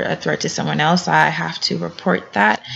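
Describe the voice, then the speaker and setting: Noticeable background noise runs behind a woman speaking with an American accent. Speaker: graduate student. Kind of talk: class introduction video. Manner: hesitant, many fillers.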